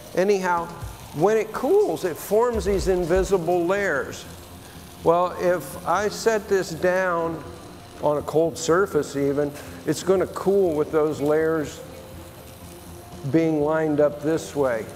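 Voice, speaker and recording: At a very slow pace with long, frequent pauses, a man speaks at a high pitch with ordinary pitch variation and very even loudness over light background noise. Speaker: glass artist demonstrating. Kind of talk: tutorial. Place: bar. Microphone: lapel.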